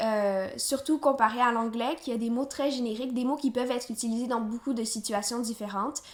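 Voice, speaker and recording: A woman speaks with a slight Quebec accent in a high pitch. Her pace is moderate and her pitch variation ordinary. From Quebec, Canada. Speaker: polyglot vlogger. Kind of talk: casual vlog. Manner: hesitant with fillers.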